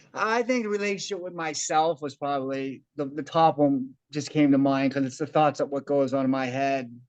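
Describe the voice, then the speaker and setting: Hardly any pauses break an unremarkable speaking voice that keeps a moderate pace and ordinary pitch variation. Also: man, fairly high pitch for a man. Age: 40s. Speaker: meeting participant, tutor and wrestling coach. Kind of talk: casual group discussion. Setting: video call.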